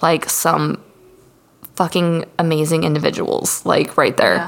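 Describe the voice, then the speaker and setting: Noticeable background noise sits behind the voice. A woman speaks at a fairly slow pace. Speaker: podcast host. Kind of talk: casual, heavy profanity.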